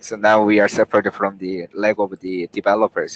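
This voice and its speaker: A man with a non-native accent speaks at a moderate pace and a fairly low pitch, his intonation monotone and flat. The sound is dry and close, with no echo. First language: not English. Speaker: software developer, team lead. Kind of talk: work meeting. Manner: halting, searching for words.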